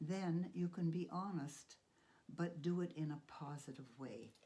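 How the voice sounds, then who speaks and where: Her voice is somewhat breathy, with a dark, mellow tone. This woman uses ordinary pitch variation. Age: 80s+. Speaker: piano, voice and painting teacher. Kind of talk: interview answer.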